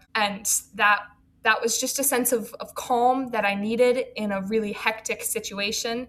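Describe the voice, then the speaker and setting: Against noticeable background noise, a woman speaks at a moderate pace with monotone, flat intonation. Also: fairly high pitch for a woman. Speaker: college student. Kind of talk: casual interview chat. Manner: fluent, articulate.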